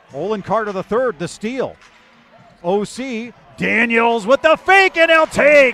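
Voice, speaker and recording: A raised, projected voice speaks at a very slow pace with very wide pitch swings. The sound is dry, with no echo. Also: man, extremely high pitch for a man. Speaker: basketball play-by-play announcer. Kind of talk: live basketball play-by-play commentary, rattling off names and actions. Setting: broadcast booth. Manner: bursts of excitement on big plays. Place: stadium. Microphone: headset.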